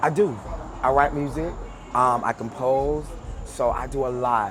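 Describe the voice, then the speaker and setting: Over noticeable background noise and audible room echo, the speaker goes at a fairly slow pace with ordinary pitch variation. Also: man, medium pitch for a man. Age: 30s. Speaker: R&B singer. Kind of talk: interview. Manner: casual.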